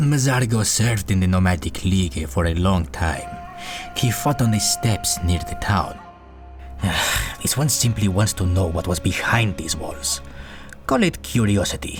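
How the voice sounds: A man uses a put-on character voice, very deep and low in pitch. Clear music plays in the background. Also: moderate pace.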